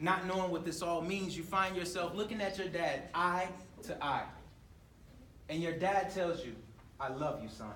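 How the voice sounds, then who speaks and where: A man with an American accent and a high pitch speaks with ordinary pitch variation and long, frequent pauses. Audible room echo and noticeable background noise fill the recording. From US South, Atlanta. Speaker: motivational speaker. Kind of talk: motivational talk. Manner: fast; loud.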